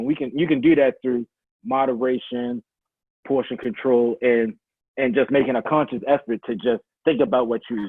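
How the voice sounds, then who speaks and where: A man's medium-pitched voice with a Baltimore accent at a fairly quick pace. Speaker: fitness coach. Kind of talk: casual interview. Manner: halting, many restarts.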